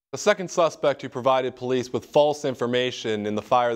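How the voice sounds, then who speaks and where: A man with an ordinary speaking voice talks at a fairly quick pace in a medium pitch with ordinary pitch variation against a quiet background. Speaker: news anchor. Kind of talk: local TV news anchor read.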